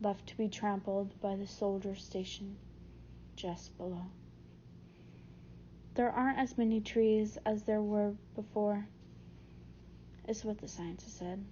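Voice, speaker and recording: Somewhat breathy and medium-pitched, a woman talks at a fairly slow pace in a monotone, flat intonation, with long, frequent pauses. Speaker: audiobook narrator. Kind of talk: audiobook reading, first-person narration of a novel.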